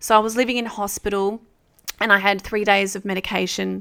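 Here a woman with an Australian accent speaks at a fairly quick pace. Her medium-pitched voice is monotone, with flat intonation. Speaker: kinesiologist. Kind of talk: panel discussion.

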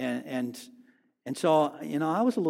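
Vocal fry runs through this voice, which has ordinary pitch variation on a very clean recording with a silent background. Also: man. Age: 50s. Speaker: pastor. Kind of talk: sermon. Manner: halting, frequent word repetitions.

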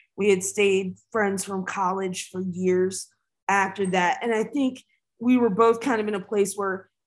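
Here is a woman with an unremarkable speaking voice and a medium pitch. She talks at a fairly slow pace with fairly even intonation. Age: 40s. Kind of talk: casual interview conversation.

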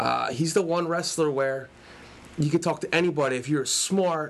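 A man with a normal speaking voice talks at a moderate pace. His pitch sits fairly high for a man. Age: 30s. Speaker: wrestling fan guest, English teacher. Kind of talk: casual chat.

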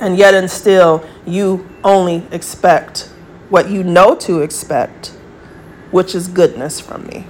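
A woman of medium pitch at a very slow pace, with fairly even intonation, big swings in loudness and noticeable background noise. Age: 40s. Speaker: podcast host. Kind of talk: monologue rant.

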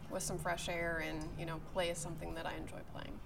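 A woman with an American accent talks at a fairly quick pace. Her tone is bright and sharp, with vocal fry. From Pittsburgh, Pennsylvania. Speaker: TV meteorologist. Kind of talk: casual interview. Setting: golf club.

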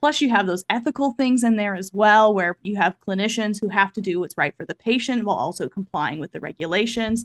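A woman with an American accent speaks at a fairly quick pace with hardly any pauses, her pitch medium with ordinary variation. The sound is dry and close, with no echo. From US Midwest, Kansas City, Missouri. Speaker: occupational therapist and advocacy educator. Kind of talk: podcast interview. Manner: fast.

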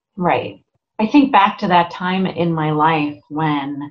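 A woman talks with lively intonation. Her voice has a somewhat breathy quality. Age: 50s. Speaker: voice and life coach. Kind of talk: casual interview chat.

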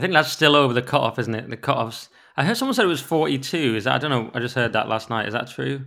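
Over a very clean recording with a silent background, a man speaks at a very fast pace in a bright, sharp tone with vocal fry. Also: medium pitch for a man, ordinary pitch variation. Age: 30s. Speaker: podcast co-host. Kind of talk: casual chat.

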